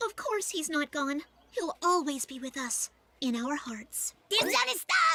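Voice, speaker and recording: A cartoonish character voice speaks at a high pitch and a fairly slow pace. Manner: nervous, suspicious.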